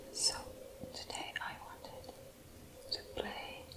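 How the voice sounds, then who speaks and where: The speech comes at a very slow pace against loud background noise. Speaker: ASMR creator. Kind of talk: ASMR whisper intro. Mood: shy, apologetic. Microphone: phone near.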